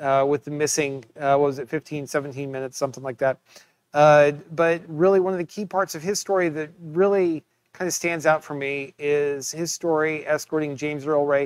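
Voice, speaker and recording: A man talks at a moderate pace in an unremarkable speaking voice, fairly high in pitch. His intonation is fairly even, and the sound is dry with no echo over a quiet background. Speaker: museum curator. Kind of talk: interview. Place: office. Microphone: webcam.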